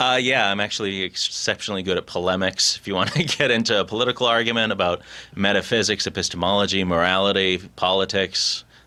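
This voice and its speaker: This man talks at a very fast pace with an American accent. His fairly low voice has a bright, sharp tone and fairly even intonation. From Boston area. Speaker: voice actor. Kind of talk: interview answer.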